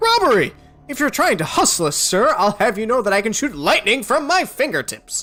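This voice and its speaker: A put-on character voice, fairly high in pitch with very wide swings, at a fairly quick pace over faint background music. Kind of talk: theatrical fantasy role-play. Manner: scoffing, indignant, boastful.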